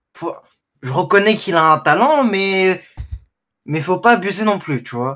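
A high-pitched man at a fairly slow pace, lively in intonation. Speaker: F1 fan on stream call; streamer. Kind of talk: casual debate. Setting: voice chat. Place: home room. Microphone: studio mic.

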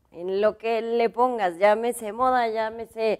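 A woman at a fairly slow pace with fairly even intonation, quiet background. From Mexico. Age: 40s. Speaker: fashion designer; interview guest. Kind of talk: interview. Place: studio. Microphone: lapel.

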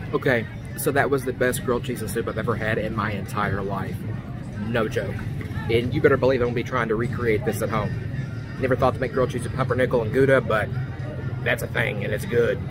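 Music plays in the background of this dry recording with no echo. The pace is very fast. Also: man. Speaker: theme park food vlogger. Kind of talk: casual vlog chat. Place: street. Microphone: phone near.

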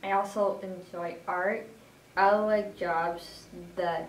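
Audible room echo and light background noise accompany a woman's voice. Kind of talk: self-introduction. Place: home room. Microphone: camera far.

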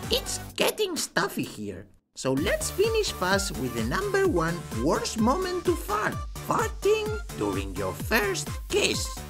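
A cartoonish character voice talks at a fairly slow pace over clear background music.

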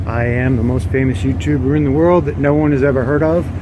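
Over noticeable background noise, a man talks at a fairly quick pace with very wide pitch swings. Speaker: vlogger. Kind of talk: casual vlog chat. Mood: upbeat, joking. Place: car. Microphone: phone near.

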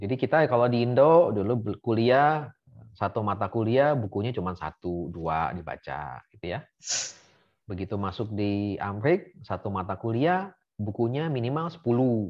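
A man's medium-pitched voice at a moderate pace, with very wide pitch swings, over a quiet background. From Indonesia, Bandar Lampung; Indonesia. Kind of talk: casual interview. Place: home room. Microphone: video call.

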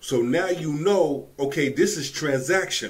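A man with a somewhat breathy voice uses lively intonation at a fairly slow pace. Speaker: reaction commentator. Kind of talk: commentary. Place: home room.

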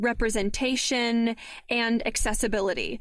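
An ordinary speaking voice moves at a fairly slow pace with fairly even intonation, in a very clean recording with a silent background. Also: woman. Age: 20s. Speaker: audio drama producer and podcaster. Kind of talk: interview.

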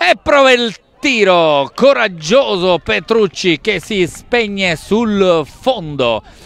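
Speaking at a very slow pace, a man with a high voice makes very wide pitch swings. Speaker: football commentator. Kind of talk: live sports commentary. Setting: stadium, outdoors in the rain. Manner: excitable, rising to shouts on goals.

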